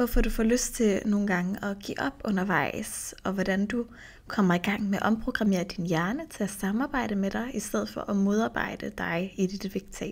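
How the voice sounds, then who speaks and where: Somewhat breathy, a woman speaks with hardly any pauses. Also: medium pitch for a woman, ordinary pitch variation, moderate pace. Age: 30s. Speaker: nutrition coach and podcast host. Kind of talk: solo podcast monologue. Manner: casual, with filler sounds.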